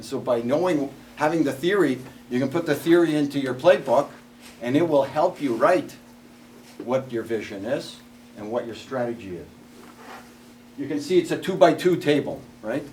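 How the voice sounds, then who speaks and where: A man with a fairly high pitch talks at a moderate pace, with ordinary pitch variation and long, frequent pauses. His loudness swings widely, and there is noticeable background noise. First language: not English. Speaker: workshop speaker, former salesperson. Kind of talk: presentation to an audience. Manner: conversational.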